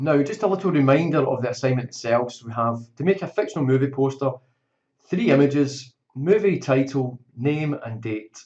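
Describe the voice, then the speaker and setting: A man with a Scottish accent talks at a fairly high pitch, somewhat breathy, with lively intonation and big swings in loudness. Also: moderate pace. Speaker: teacher. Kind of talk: tutorial. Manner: informal.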